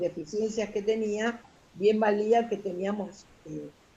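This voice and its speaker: A woman speaks at a very slow pace. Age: 60s. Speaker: retired social worker. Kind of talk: interview. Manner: halting.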